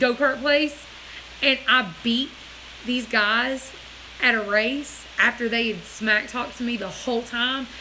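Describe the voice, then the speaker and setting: A loud woman speaks at a fairly slow pace in an animated tone, her pitch high, with noticeable background noise. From US Deep South. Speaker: livestream host. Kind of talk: casual chat.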